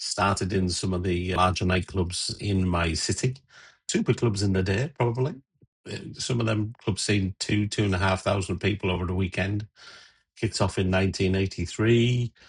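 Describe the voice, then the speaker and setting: Over a quiet background, a man with an English accent talks at a moderate pace and fairly low pitch, somewhat breathy and with fairly even intonation. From England. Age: 60s. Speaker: DJ and radio presenter; DJ, radio presenter. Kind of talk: casual tutorial intro; casual vlog chat. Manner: casual, with fillers. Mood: warm, nostalgic. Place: home room.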